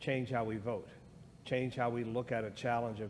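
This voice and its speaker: Audible room echo surrounds a man speaking with an American accent. He talks at a moderate pace and medium pitch. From US. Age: 60s. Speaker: guest speaker on race. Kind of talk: church discussion.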